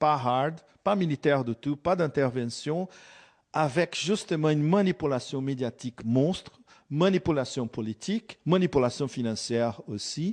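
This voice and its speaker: In a dry, close recording with no echo and a quiet background, a man with a Brazilian accent speaks at a fairly high pitch. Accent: non-native French, Brazilian. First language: Portuguese (speaking French). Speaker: geopolitical analyst. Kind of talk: interview. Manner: halting, many hesitations.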